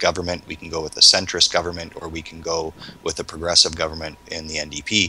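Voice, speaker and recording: Through noticeable background noise, a man with a Canadian accent and a very deep, low pitch talks very fast in a monotone, flat intonation, with big swings in loudness. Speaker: panel guest. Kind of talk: panel discussion.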